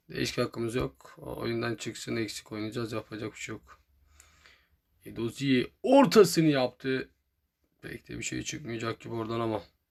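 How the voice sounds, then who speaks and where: A man talks at an average speed on a very clean recording with a silent background. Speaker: gaming youtuber. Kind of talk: gameplay commentary. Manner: animated.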